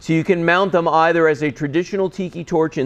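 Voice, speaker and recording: A man talks loudly at a fairly quick pace, his tone animated. His pitch sits high. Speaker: TV shopping host. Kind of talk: sales pitch.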